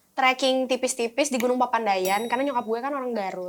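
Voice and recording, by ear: A woman speaks fast in a fairly high pitch. Her pitch varies in an ordinary way.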